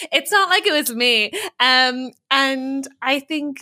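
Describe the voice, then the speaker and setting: On a very clean recording with a silent background, a woman with an Irish accent speaks in a bright, sharp tone with ordinary pitch variation. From Ireland. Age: 30s. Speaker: comedian. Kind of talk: casual interview chat.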